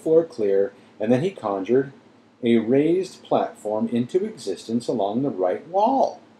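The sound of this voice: This is an unforced reading voice. The text is read in that manner throughout.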